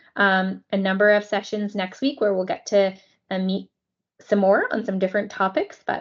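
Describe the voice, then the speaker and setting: A plain, everyday voice at a moderate pace against a quiet background. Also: woman. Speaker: software implementation consultant. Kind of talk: software demo and training meeting.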